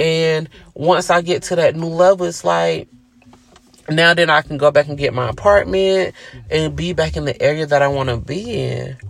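This is a man with a Georgia accent. He talks at a moderate pace. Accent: Southern US, Georgia. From US South, Gainesville, Georgia. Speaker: podcast host. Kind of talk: casual storytelling monologue. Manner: conversational, many fillers.

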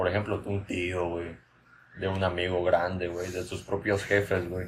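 A man talks at a fairly slow pace in a very deep, low voice. His sound is somewhat breathy. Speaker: podcast host. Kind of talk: casual comedic chat.

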